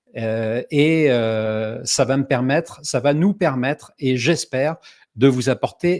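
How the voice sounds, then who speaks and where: A man with a medium-pitched voice speaks very slowly, his pitch varying in an ordinary way. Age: 60s. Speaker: online summit host. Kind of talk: online event introduction. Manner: hesitant, many filler sounds.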